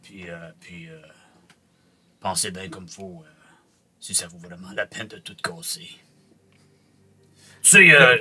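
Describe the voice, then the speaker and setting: Using a put-on character voice, a man with a very deep, low pitch talks at a fairly slow pace with long, frequent pauses. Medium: actual play. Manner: halting, hesitant, many fillers.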